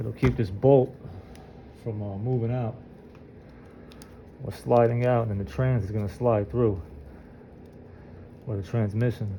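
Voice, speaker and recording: Somewhat breathy and dark, mellow in tone, a man's medium-pitched voice moves at a moderate pace with ordinary pitch variation and long, frequent pauses. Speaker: groundskeeper doing mower repair. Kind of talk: tutorial. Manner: halting with many fillers.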